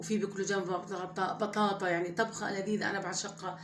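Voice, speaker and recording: A woman with a Levantine accent talks at a moderate pace and medium pitch in a monotone, flat intonation. Noticeable background noise and audible room echo surround her voice. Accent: her own everyday Levantine dialect. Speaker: home cooking vlogger. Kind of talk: cooking tutorial, casual chat. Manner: conversational, hesitant with fillers.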